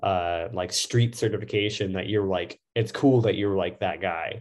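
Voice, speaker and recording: Moderately paced, a man speaks in an unremarkable speaking voice with a fairly low pitch. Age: 30s. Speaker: tattoo artist. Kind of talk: casual chat.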